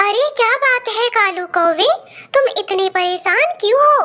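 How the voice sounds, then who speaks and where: Squeaky and clearly a put-on character voice, it moves at a moderate pace. The intonation is lively. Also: woman, extremely high pitch for a woman. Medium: cartoon. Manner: gentle, advising.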